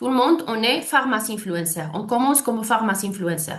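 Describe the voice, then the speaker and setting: Room echo can be heard as a woman talks with a non-native accent. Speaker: network marketing leader. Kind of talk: sales presentation. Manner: halting, many hesitations and false starts.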